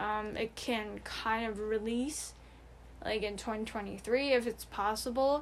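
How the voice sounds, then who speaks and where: This woman's voice sits fairly high in pitch, and her intonation stays fairly even. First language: Mandarin. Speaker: podcast co-host. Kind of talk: casual chat.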